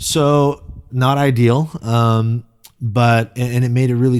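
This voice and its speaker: The speaker is a man with a Californian accent. His pitch variation is ordinary. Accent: General American, California. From US West Coast, Silicon Valley, California. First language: Korean. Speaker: pastor. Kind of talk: interview. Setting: podcast. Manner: casual, reflective.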